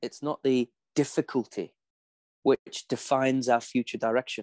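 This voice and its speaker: The speaker talks at a fairly slow pace in an English accent, with monotone, flat intonation. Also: man. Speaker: performance psychology coach. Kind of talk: interview.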